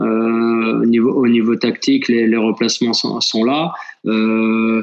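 A man is speaking. His pace is fairly slow. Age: 60s. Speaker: football sporting director. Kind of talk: interview. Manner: hesitant, with fillers and repetitions.

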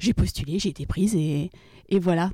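With an unremarkable speaking voice, a woman at a medium pitch talks at a moderate pace with ordinary pitch variation, the sound dry and close with no echo. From Brittany, France (Rennes). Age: 20s. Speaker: logistics operations manager. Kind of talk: interview. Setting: on location.

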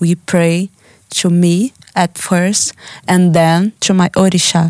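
In a Brazilian accent, a woman with fairly low pitch speaks at a very slow pace with monotone, flat intonation, and the sound is dry and close, with no echo. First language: Portuguese. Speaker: artist. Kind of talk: interview. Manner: halting.

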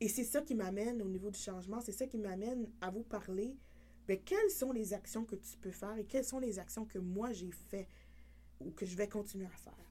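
A woman speaks at a medium pitch in a dark, mellow tone with vocal fry. Her pace is moderate and pitch variation ordinary. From New Brunswick, Canada. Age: 30s. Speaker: podcast host. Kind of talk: personal testimony monologue.

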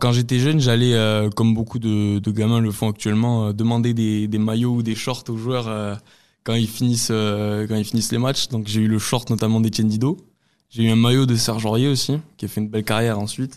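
A man at medium pitch and moderate pace, monotone and flat in intonation, in a very clean recording with a silent background. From Lot, southwest France. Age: 20s. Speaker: football fan. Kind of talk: testimony. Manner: halting, many repetitions and hesitations.

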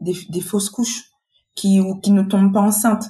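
An unremarkable speaking voice at a moderate pace. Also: woman. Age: 40s. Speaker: patient advocate, association volunteer. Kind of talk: personal testimony interview.

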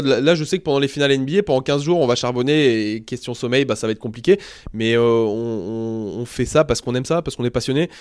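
A man talks in a normal speaking voice. His pitch is medium, with ordinary pitch variation. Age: 30s. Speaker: basketball commentator. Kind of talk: casual interview.

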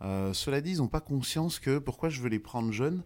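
On a very clean recording with a silent background, a man uses a plain, everyday voice with lively intonation at a moderate pace. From France, Paris. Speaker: golf instructor. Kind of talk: interview.

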